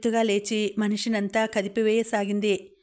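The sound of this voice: The voice reads in an unforced way. Nothing else is heard with it.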